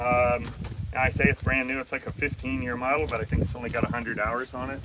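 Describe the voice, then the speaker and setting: A man speaks in a medium pitch. Noticeable background noise runs under his voice. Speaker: auctioneer giving an equipment walk-through. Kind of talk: casual talk while walking through equipment. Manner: conversational, filler words.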